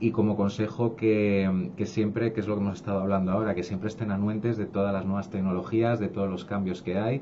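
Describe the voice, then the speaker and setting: A man talks at a fairly quick pace with hardly any pauses, his fairly low voice dark and mellow in tone. His intonation is monotone and flat, with light background noise behind him. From Spain. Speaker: education company director; guest. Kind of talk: radio interview. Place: studio.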